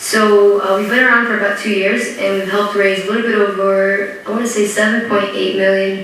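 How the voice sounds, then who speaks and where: Amid noticeable background noise and audible room echo, a woman with an American accent talks at a medium pitch and a moderate pace. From US Midwest, Detroit, Michigan. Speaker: startup co-founder. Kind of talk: panel talk. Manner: casual, many fillers.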